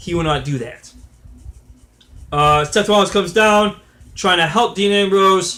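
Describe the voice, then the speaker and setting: Raising and projecting his high-pitched voice, a man speaks with a bright, sharp tone at a fairly slow pace, leaving long, frequent pauses. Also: ordinary pitch variation. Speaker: wrestling commentator vlogger. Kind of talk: casual commentary monologue. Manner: halting, many fillers and restarts.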